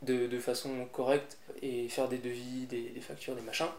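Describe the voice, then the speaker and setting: A man is heard with audible room echo. Noticeable background noise is also present. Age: 20s. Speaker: gardener. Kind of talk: interview. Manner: hesitant, many fillers.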